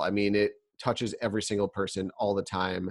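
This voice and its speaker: A man with an American accent talks in an ordinary speaking voice at a moderate pace. His pitch is fairly low, and the background is quiet. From upstate New York. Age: 30s. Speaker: podcast host and media producer. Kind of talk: solo podcast monologue. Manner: casual with frequent fillers.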